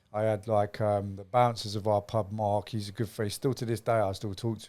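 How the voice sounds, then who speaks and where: A man with an East Midlands accent and a dark, mellow tone, monotone and flat in intonation at a fairly quick pace, in a very clean recording with a silent background. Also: hardly any pauses, big swings in loudness. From Nottingham, England. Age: 40s. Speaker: former gang member. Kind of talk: interview storytelling. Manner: casual.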